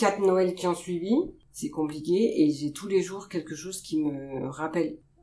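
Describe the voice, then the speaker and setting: A woman with an unremarkable speaking voice keeps a moderate pace, her pitch varying ordinarily. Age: 40s. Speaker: pediatric nurse. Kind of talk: interview.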